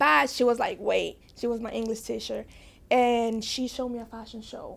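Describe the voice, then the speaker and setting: A woman talks with a Spanish accent at a moderate pace. Her loudness swings widely. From Dominican Republic, then Bronx, New York. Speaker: fashion designer. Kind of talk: podcast interview, personal story.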